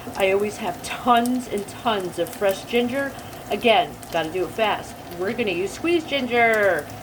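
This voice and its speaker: A woman with a New Jersey accent, medium pitch and lively intonation, over noticeable background noise. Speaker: home cooking video host. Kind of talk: cooking tutorial. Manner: casual, chatty.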